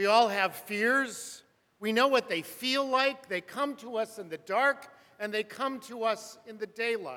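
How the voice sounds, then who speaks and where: A raised, projected man's voice with a bright, sharp tone and high pitch, in an American accent, at a fairly slow pace with ordinary pitch variation. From US West, Burbank, California. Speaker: preacher. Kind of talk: sermon.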